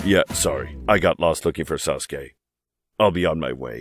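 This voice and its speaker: A man uses a put-on character voice at a very deep, low pitch. He keeps a moderate pace. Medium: dub.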